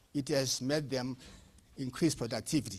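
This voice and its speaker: At a fairly slow pace, a man speaks at a medium pitch in a very clean recording with a silent background. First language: not English. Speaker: panelist on youth entrepreneurship. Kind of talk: panel discussion. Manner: halting.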